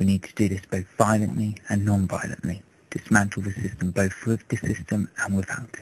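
A man with an English accent speaks at a moderate pace in a fairly low, somewhat breathy voice. His intonation stays monotone and flat. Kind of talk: political speech to camera. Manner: impassioned.

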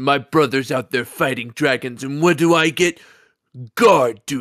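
A man puts on a character voice at medium pitch and a moderate pace. The recording is very clean, with a silent background. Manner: snarky.

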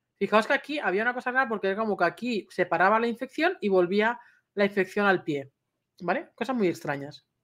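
A woman speaks at a fairly quick pace in an animated tone with lively intonation. The background is quiet. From Spain. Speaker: dog trainer and YouTuber; dog trainer, YouTuber. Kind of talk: personal vlog storytelling. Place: home room. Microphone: webcam.

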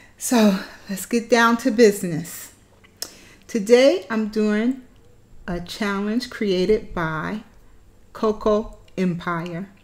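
A woman speaks at a very slow pace with ordinary pitch variation, leaving long, frequent pauses. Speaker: food challenge vlogger. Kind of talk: casual vlog chat. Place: home room. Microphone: phone near.

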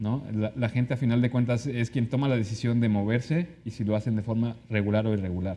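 A man talks at medium pitch with a dark, mellow tone. His pace is fairly quick. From Mexico City. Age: 30s. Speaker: consular official; guest. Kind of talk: interview; interview answer. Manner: halting, frequent repetitions. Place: studio.

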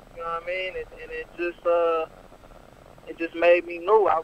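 Over noticeable background noise, a man with an American accent speaks at a high pitch and a fairly quick pace. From Detroit, Michigan. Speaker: rapper. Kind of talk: radio interview.

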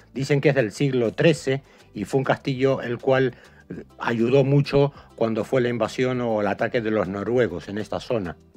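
With music in the background, a man speaks at a moderate pace. His pitch is medium, with ordinary variation. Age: 50s. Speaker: travel vlogger. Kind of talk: travel vlog narration.

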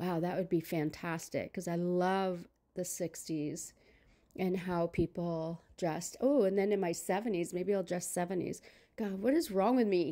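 A woman speaks at a moderate pace with a dark, mellow tone and fairly low pitch. Her pitch varies in an ordinary way over a quiet background. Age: 60s. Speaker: vlogger. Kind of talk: casual talk to camera. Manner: chatty, upbeat. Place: home room.

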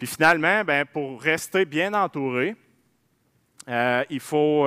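A man's fairly high voice with a bright, sharp tone and ordinary pitch variation, against a quiet background. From Quebec. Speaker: dairy farmer; presenter. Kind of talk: conference talk. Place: hall. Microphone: headset.

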